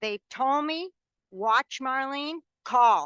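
A woman with an American accent projects a raised voice, high in pitch with a bright, sharp tone. The sound is dry and close with no echo against a quiet background. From Binghamton, New York, US. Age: 70s. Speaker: resident giving public comment. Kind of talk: public comment at a planning meeting.

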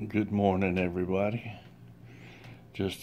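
A man's voice sits fairly low in pitch. Light background noise can be heard. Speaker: religious vlogger. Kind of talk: short sermon-like vlog message. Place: home room. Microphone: phone near.

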